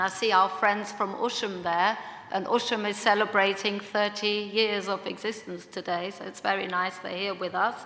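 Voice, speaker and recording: A woman speaks with a slight German accent, her intonation monotone and flat. Room echo is audible, along with noticeable background noise. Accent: slight German twang. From Germany, Munich. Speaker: second generation Holocaust speaker. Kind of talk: panel discussion talk. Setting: conference room with audience.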